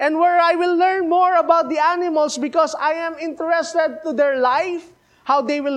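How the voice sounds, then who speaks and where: With a Filipino accent, a man talks at a moderate pace in an extremely high voice, his intonation fairly even and hardly any pauses between words. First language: Filipino language (Tagalog or regional). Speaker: missionary preacher. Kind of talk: sermon. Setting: church. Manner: halting, repeats words.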